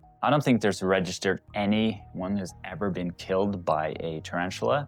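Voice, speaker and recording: Music plays behind this man, whose pitch is very deep and low. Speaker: tarantula keeper, educational video host. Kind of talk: educational facts narration to camera. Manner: casual, hesitant.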